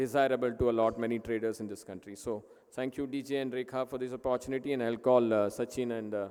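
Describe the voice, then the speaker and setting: At a fairly quick pace, a man talks in a dark, mellow voice of medium pitch with monotone, flat intonation. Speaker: sponsor company representative. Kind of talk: conference speech.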